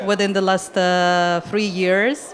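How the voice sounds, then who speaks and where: Against noticeable background noise, a woman with a Russian accent speaks very slowly at a medium pitch. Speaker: immigration consultant. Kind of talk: panel discussion. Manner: halting.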